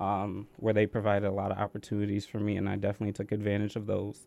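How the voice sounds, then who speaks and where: In a dark, mellow tone, a man speaks with an American accent. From Connecticut. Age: 20s. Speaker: college student. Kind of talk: interview. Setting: studio.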